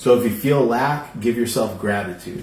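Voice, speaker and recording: A man mumbles at a fairly quick pace with lively intonation and a medium pitch. The room echo is audible. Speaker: tarot reader. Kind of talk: live-streamed tarot reading. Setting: live stream. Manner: mumbling; casual, conversational.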